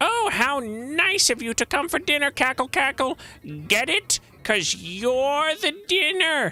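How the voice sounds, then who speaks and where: A put-on, menacing character voice from a man, extremely high and squeaky, at a fairly slow pace. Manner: cackling, gleeful, menacing.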